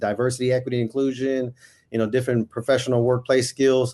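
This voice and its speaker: The background is quiet. Speech moves at a fairly quick pace. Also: man. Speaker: podcast host. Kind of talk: podcast interview.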